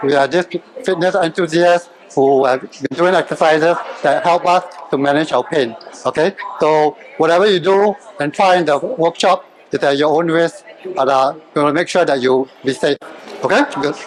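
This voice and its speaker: With a Singaporean accent, a man at a fairly high pitch talks at a moderate pace with ordinary pitch variation, very even loudness and long, frequent pauses over noticeable background noise. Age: 60s. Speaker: fitness trainer. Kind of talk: workshop presentation.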